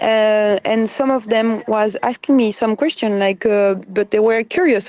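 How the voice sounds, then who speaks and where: A woman with a French accent speaks at a fairly slow pace in a fairly high pitch, recorded with a dry, close sound that has no echo. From France. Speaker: flotilla activist, detainee. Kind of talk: interview testimony. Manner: halting.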